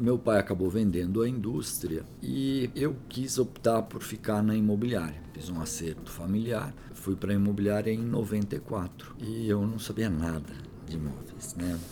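A man speaks in a normal speaking voice, fairly low in pitch. His pace is fairly slow, and his pitch varies in an ordinary way. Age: 50s. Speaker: real estate company CEO. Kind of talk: interview.

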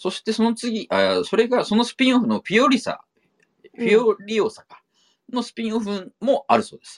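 A man's loudness swings widely in a dry, close recording with no echo. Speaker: podcast host, film enthusiast. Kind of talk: casual chat.

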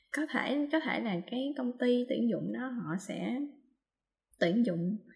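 At a very slow pace, a woman speaks in a dark, mellow, somewhat breathy tone with lively intonation. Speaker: podcast co-host on translation. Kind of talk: casual chat. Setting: video call from home.

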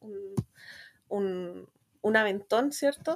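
A woman's normal speaking voice, fairly slow and lively in intonation, in a very clean recording with a silent background. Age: 30s. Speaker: guest fan. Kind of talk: casual chat.

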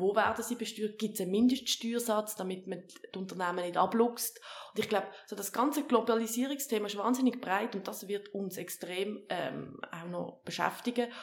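A woman with a fairly high pitch, ordinary pitch variation and a moderate pace, over noticeable background noise. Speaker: politician. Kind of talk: interview. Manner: halting.

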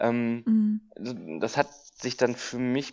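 Heard in a normal speaking voice, the speech has lively intonation. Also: man. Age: 30s. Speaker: dog trainer and animal welfare volunteer. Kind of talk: casual interview chat.

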